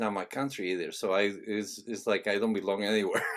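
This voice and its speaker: A man with a Spanish accent speaks at a moderate pace, with fairly low pitch and ordinary pitch variation. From Venezuela. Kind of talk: interview. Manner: halting.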